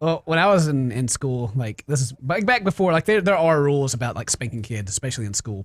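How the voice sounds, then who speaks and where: Talking at a very fast pace with hardly any pauses, a man at medium pitch makes very wide pitch swings, the sound dry and close with no echo. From US South. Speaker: gaming YouTuber, podcast co-host. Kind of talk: casual chat.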